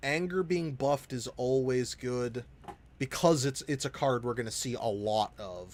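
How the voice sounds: The reading comes in a natural reading voice. That voice carries the text from start to finish.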